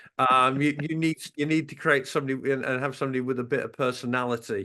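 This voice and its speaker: Fairly quick speech in a Norfolk accent. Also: man. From England, West Norfolk. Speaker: radio station owner and program director. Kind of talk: interview. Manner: halting, many fillers.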